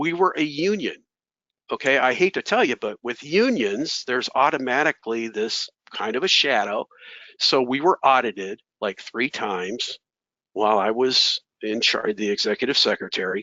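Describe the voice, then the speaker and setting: A man's unremarkable speaking voice at medium pitch, with lively intonation and a moderate pace. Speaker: professional association president. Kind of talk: webinar talk. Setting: webinar.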